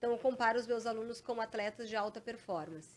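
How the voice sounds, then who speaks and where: A woman's fairly high voice in a very clean recording with a silent background. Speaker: police chief and exam-prep mentor. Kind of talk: interview. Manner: fast; animated.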